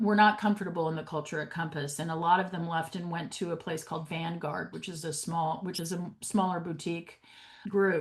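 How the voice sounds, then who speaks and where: With an American accent, a woman with an unremarkable speaking voice talks at a fairly low pitch and a fairly quick pace. Her loudness swings a lot. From New York City. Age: 60s. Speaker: podcast host and real estate agent. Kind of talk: casual interview chat.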